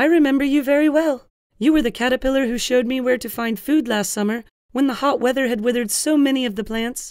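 A man's put-on character voice, extremely high in pitch, very fast in pace, with fairly even intonation.

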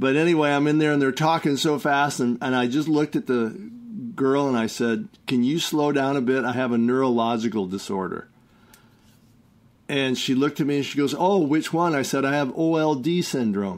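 A man talks in a plain, everyday voice. His pitch is fairly high and varies in an ordinary way. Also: moderate pace, very even loudness. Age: 60s. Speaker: herbal product maker and health talk host. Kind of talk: casual monologue.

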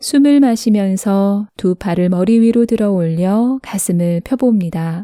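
In a calm, soothing tone that is dark and mellow, a woman of medium pitch speaks at a very slow pace with hardly any pauses, ordinary pitch variation and very even loudness, the sound dry and close with no echo on a very clean recording with a silent background. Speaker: narrator. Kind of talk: yoga pose instruction.

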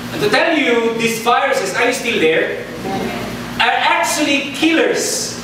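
Strong room echo and noticeable background noise accompany a man speaking fairly slowly at an extremely high pitch with very wide pitch swings. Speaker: preacher. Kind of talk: sermon. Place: church.

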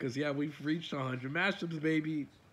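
A man speaks with a fairly high pitch. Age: young. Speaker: gaming youtuber; content creator. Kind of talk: casual vlog update. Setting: face cam recording at home. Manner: rambling, halting with fillers. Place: home room.

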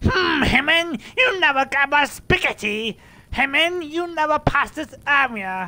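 High-pitched put-on character voice at a fairly slow pace. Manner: loud, cartoonish.

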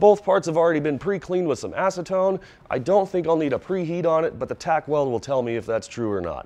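A man with a dark, mellow tone talks at a fairly quick pace with hardly any pauses. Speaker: welding instructor. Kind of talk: tutorial. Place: workshop.

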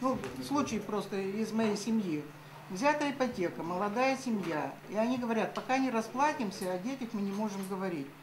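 This woman talks at a moderate pace with lively intonation. Background noise is noticeable. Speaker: audience member asking questions; audience member. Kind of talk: question from the floor. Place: meeting room. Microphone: camera far.

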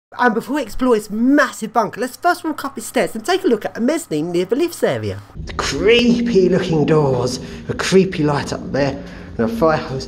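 Light noise sits in the background as the talking goes at a moderate pace. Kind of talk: casual vlog commentary. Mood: excited, disgusted at smells. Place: tunnel cave. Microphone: phone near.

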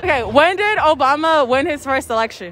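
A woman with a high voice, fairly quick pace and lively intonation, faint crowd noise in the background. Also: fairly bright tone.

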